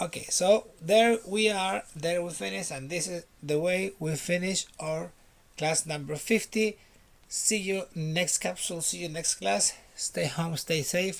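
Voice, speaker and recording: A man with a Spanish accent, high in pitch, at a fairly slow pace with ordinary pitch variation. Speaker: English teacher. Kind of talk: online lesson. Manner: repetitive, drilling.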